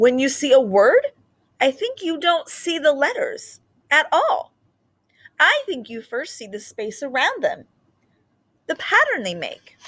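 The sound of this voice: A woman puts on a character voice with high pitch, very wide pitch swings and a fairly bright tone. She talks at a fairly slow pace with long, frequent pauses.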